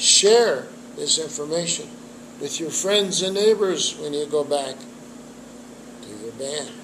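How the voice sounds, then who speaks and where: Amid noticeable background noise and audible room echo, a man talks at a fairly slow pace with long, frequent pauses, a high pitch, very wide pitch swings and big swings in loudness. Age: 70s. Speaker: trumpet teacher and jazz musician. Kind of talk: interview.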